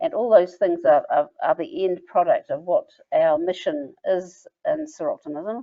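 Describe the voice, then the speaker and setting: At a fairly slow pace, a woman speaks with a New Zealand accent. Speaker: membership organizer of a women's service organization. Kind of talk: online information session. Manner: halting.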